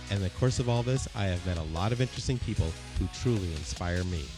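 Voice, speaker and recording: Over music in the background, a man talks at a very fast pace in a very deep, low pitch, his voice making very wide pitch swings. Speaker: architect and podcast host. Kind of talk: podcast introduction.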